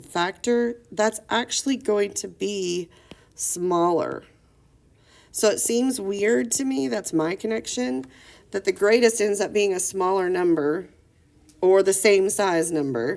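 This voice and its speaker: Using an ordinary speaking voice, a woman talks at a fairly slow pace and medium pitch with lively intonation. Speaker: math teacher. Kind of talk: lecture.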